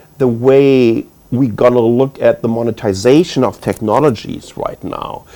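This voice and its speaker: With a German accent, a man speaks at a fairly slow pace. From Germany. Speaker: tech executive panelist. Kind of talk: panel discussion.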